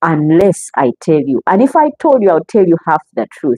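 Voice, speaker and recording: A woman speaks with a Ugandan accent. Her pitch swings very widely. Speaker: relationship talk show host. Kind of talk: live stream talk. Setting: live stream.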